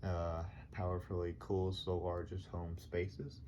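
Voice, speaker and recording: The voice is somewhat breathy, with a dark, mellow tone and fairly even intonation. It moves at a very slow pace, with audible room echo. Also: man. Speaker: YouTuber doing product reviews. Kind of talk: casual product review. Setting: at home, late at night. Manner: soft-spoken, talking quietly; hesitant, many fillers.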